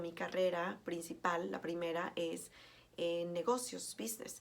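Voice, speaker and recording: With audible room echo, a woman talks at a fairly slow pace. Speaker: teacher. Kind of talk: lecture. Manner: hesitant, many fillers.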